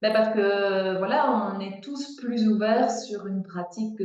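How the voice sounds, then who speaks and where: This woman's voice sits at a medium pitch with ordinary variation. She proceeds at a fairly slow pace. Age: 30s. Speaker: food coach. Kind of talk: casual chat. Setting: outdoors, video call.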